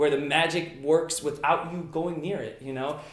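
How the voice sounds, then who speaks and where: A man talks at a fairly quick pace. His pitch is high, and the room echo is audible. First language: Italian. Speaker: magician. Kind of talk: interview. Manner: casual, frequent fillers.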